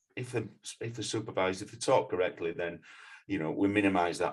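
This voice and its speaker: A man talks at a very fast pace in a Yorkshire accent. His voice sits fairly low and sounds somewhat breathy. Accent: regional Yorkshire. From northern England, Leeds, Yorkshire. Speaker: mountain leader and climbing instructor. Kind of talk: podcast interview. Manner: halting.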